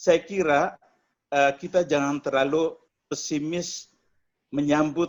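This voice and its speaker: A man with a normal speaking voice talks at a moderate pace, fairly high in pitch, with fairly even intonation. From eastern Indonesia (Flores). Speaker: media executive. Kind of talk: online discussion.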